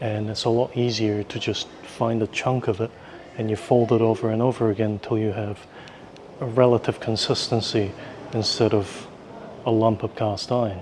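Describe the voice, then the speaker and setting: A man talks in a monotone, flat intonation. Noticeable background noise sits behind him. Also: medium pitch for a man, moderate pace. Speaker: travel vlogger. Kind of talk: casual travel vlog. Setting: indoors in a museum.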